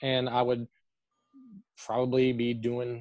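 A man in a Southern US accent, dry, close sound with no echo. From Tennessee, Chattanooga. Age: 30s. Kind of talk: interview. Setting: video call. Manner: halting, many fillers.

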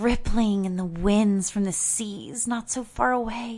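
A put-on character voice that sounds female, medium in pitch, moves at a fairly slow pace. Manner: lofty, rhapsodic, huffy.

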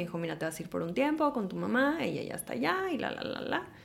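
A woman speaks with very wide pitch swings. Noticeable background noise runs under her voice. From Houston, Texas (born Mexico City). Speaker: actress and TV presenter. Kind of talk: casual interview chat.

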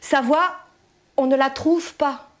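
Talking at a very slow pace, a woman holds a monotone, flat intonation at a high pitch. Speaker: poet performer. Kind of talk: poem performed, written text read aloud with intensity. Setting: live event with audience, festival.

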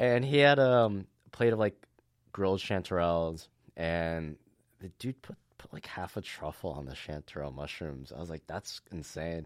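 A man's very deep, low voice with an American accent, at a moderate pace, with very wide pitch swings and big swings in loudness, on a very clean recording with a silent background. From US Mid-Atlantic (DC area, Maryland). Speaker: restaurant owner. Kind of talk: casual chat. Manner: animated.

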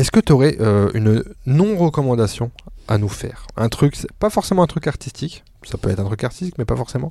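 A man speaks in a dark, mellow, somewhat breathy voice with very wide pitch swings. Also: medium pitch for a man, fairly quick pace. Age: 30s. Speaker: podcast host. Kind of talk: casual chat.

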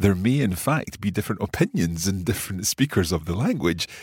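A man with a very deep, low pitch speaks at a fairly quick pace with lively intonation and a somewhat breathy quality, in a dry, close sound with no echo on a very clean recording with a silent background. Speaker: language teacher. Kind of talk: educational explanation.

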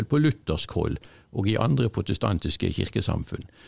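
A man's very deep, low voice with vocal fry and very wide pitch swings, dry and close with no echo. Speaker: college staff member. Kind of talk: casual chat.

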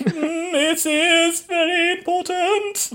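Someone puts on a character voice at an extremely high pitch. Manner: impressive, imitated alien speech.

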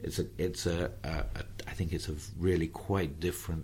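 This man has a very deep, low pitch with vocal fry. He speaks at a moderate pace. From southeast England, near Tunbridge Wells. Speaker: philosophy professor. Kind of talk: interview conversation. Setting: airport lounge. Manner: halting, many fillers and repetitions.

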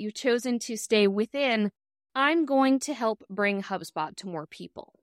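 Here a woman with a fairly high pitch uses an ordinary speaking voice, lively intonation and a moderate pace, captured in a very clean recording with a silent background and a dry, close sound without echo. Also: big swings in loudness. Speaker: podcast host. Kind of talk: interview intro and chat. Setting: video podcast.

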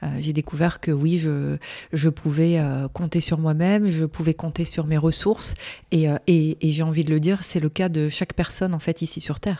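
A woman's very deep, low voice with a dark, mellow tone, monotone, flat intonation and a moderate pace. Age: 40s. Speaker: graphic designer and business owner. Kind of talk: interview. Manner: hesitant, many fillers.

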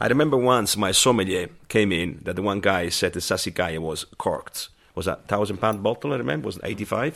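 A man with an Italian accent, fairly low in pitch, lively in intonation, fairly quick, with hardly any pauses. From southern Italy. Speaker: chef. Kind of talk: round-table discussion.

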